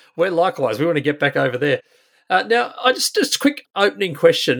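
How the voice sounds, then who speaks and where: With very wide pitch swings, a man's speech comes very fast. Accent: Australian. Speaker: podcast host, industry chair. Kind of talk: interview.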